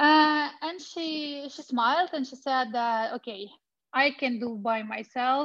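A woman with a high pitch and ordinary pitch variation speaks at a very slow pace against a quiet background. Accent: Russian. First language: Russian. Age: 30s. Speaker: women's rights activist. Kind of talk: testimony and presentation. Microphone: connection dropped out, got muted.

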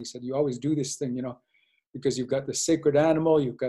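Fairly high in pitch, a man with an American accent speaks with fairly even intonation. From US Midwest, North Dakota reservation. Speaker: social work professor and dean. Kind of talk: interview. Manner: halting, many repetitions.

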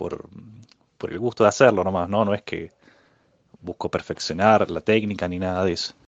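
A man speaks at a moderate pace in an unremarkable speaking voice. His pitch is fairly low, and his loudness swings widely. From Argentina, Córdoba city. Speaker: physicist. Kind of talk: interview.

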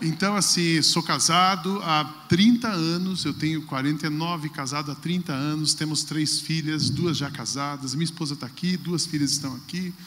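Over noticeable background noise and audible room echo, the speaker goes at a fairly slow pace with hardly any pauses and fairly even intonation. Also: man, fairly high pitch for a man. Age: 40s. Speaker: pastor. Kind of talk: talk on stage.

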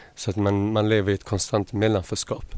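This man has a fairly low pitch and speaks in a monotone with flat intonation. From Malmö, southern Sweden. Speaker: cultural organizer. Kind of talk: studio interview. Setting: radio studio.

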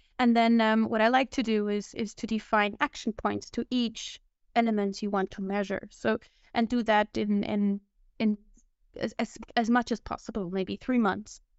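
At a fairly high pitch and a moderate pace, a woman speaks with monotone, flat intonation. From Switzerland. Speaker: team manager. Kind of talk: panel discussion.

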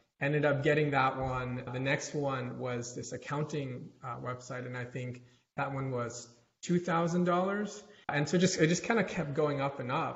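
Somewhat breathy and fairly high in pitch, a man speaks at a moderate pace with ordinary pitch variation. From US South, North Carolina and Atlanta. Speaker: tech startup founder. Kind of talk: interview.

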